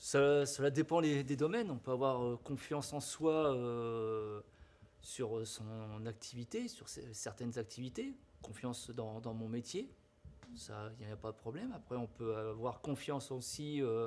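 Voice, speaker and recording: A normal speaking voice from a man, medium in pitch, at a fairly slow pace with fairly even intonation. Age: 50s. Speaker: teacher. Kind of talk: interview.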